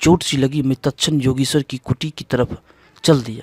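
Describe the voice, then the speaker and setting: Dry and close with no echo, a male voice is heard. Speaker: story narrator. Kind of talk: short story reading.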